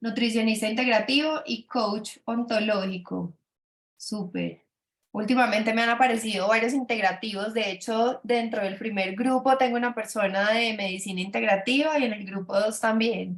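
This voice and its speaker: Somewhat breathy, a woman's voice holds a fairly high pitch with fairly even intonation. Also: moderate pace. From Colombia, Antioquia (paisa). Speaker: business mentor for doctors. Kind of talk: webinar presentation. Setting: video call. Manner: hesitant, many fillers and repetitions.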